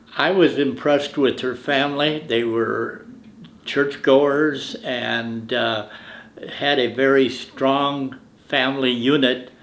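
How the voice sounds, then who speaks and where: The speaker is a man talking at a very slow pace. There is audible echo in the room. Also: medium pitch for a man, fairly even intonation. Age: 80s+. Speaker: grandparent interviewee. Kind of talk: family oral history interview.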